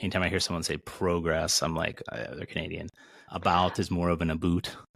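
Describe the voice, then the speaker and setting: Speaking fast and in a flat monotone, a man with an American accent has a very deep, low voice. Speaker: recovery coach and podcast host. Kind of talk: casual chat.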